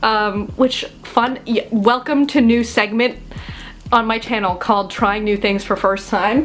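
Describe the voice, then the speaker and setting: Music plays in the background while a woman speaks. Her pitch is fairly high. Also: fairly even intonation, fairly slow pace. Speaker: college student YouTuber. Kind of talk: casual story time talk to camera. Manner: chatty, self-deprecating, humorous.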